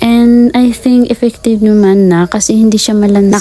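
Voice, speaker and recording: A woman speaks over noticeable background noise. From Philippines. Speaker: vlogger. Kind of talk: vlog voice-over narration. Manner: casual, chatty.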